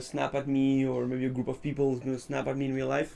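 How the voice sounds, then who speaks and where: At a fairly quick pace, a man with a French accent speaks at a medium pitch. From France or French-speaking region. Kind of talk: casual chat. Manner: halting.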